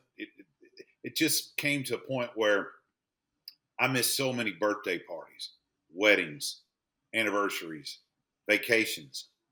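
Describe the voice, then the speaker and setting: This man talks at a fairly slow pace. His speech has long, frequent pauses. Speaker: public address announcer. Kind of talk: casual interview answer, telling personal stories.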